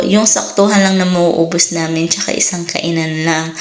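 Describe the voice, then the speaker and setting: The speech comes at a moderate pace. Noticeable background noise and audible room echo fill the recording. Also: woman. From Philippines. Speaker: vlogger. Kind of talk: casual vlog narration. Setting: home garden.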